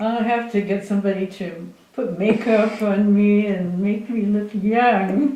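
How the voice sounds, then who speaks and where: A woman speaks very slowly at a medium pitch, with ordinary pitch variation. Audible room echo surrounds her voice. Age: 80s+. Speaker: missionary and author. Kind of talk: speech to audience.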